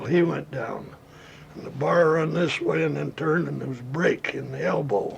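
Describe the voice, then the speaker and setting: A man talks at a moderate pace in an American accent, with noticeable noise behind him. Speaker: gun writer recounting childhood memory. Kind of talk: oral history anecdote, storytelling interview. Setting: archival recording.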